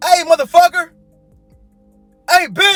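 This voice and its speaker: Someone shouts in a put-on character voice over faint background music. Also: man. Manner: aggressive, shouting.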